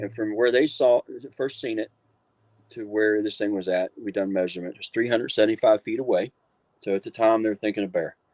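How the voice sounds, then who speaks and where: A man talks fairly quickly at medium pitch with fairly even intonation, in a dry, close sound with no echo. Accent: Appalachian. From West Virginia, Marion County. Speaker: author and paranormal researcher. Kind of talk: interview storytelling.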